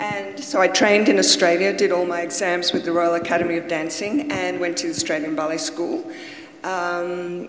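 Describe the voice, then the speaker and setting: With light background noise and audible room echo, a woman speaks at a moderate pace and a fairly low pitch. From Australia. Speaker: former principal dancer. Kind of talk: panel discussion, reminiscing. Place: stage. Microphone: handheld.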